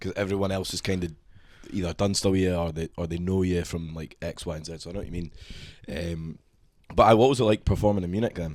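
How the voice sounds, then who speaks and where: A man's very deep, low voice with a Scottish accent, at a very fast pace with big swings in loudness, on a very clean recording with a silent background. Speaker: podcast host. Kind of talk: casual chat. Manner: animated.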